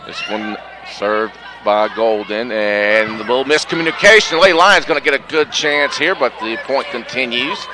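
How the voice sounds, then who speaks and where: A man's medium-pitched voice with lively intonation at a moderate pace, plus noticeable background noise. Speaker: sports play-by-play announcer. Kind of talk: live commentary.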